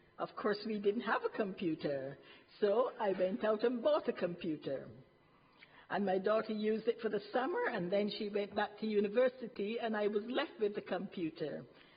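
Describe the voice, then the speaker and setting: A woman talks at a moderate pace with lively intonation and a fairly high pitch. Noticeable background noise runs behind her. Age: 60s. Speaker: retired health visitor, resident speaker. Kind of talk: prepared testimony at council meeting. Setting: council cabinet meeting. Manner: formal.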